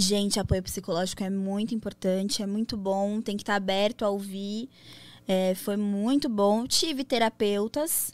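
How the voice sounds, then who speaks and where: A normal speaking voice at a moderate pace on a very clean recording with a silent background. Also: woman. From São Paulo, Brazil. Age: 20s. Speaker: DJ and adult content entrepreneur. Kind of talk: casual interview chat.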